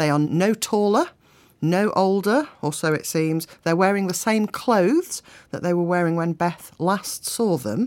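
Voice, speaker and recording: An unremarkable speaking voice from a woman, fairly low in pitch, with lively intonation at a fairly slow pace, on a very clean recording with a silent background. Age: 40s. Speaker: crime writer and poet. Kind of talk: casual interview.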